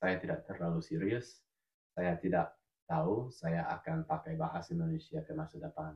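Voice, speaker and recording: Medium-pitched male voice with vocal fry and very wide pitch swings. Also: moderate pace. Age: 20s. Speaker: language teacher. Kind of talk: casual chat. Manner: halting.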